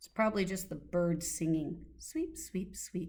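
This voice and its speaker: Using a rumbling, put-on character voice, a woman speaks at a moderate pace. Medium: read story. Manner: grumbling, muttering.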